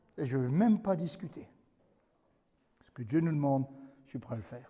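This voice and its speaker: Somewhat breathy, this man's voice carries a dark, mellow tone. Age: 70s. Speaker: pastor. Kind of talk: sermon. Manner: animated.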